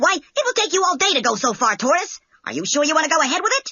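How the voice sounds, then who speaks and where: A put-on character voice, high and squeaky, races along at a very fast pace with very wide pitch swings. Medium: read story. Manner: cocky, boastful.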